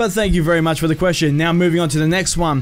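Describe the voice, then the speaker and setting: Over noticeable background noise, a man with an Australian accent speaks in a fairly high voice. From Australia, Melbourne. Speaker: gaming youtuber. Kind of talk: casual Q&A video. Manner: animated.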